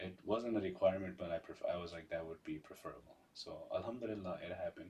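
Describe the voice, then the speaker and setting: A man talks at a fairly quick pace with a Pashto accent. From Pakistan, Peshawar. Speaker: community member, father. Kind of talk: casual interview chat.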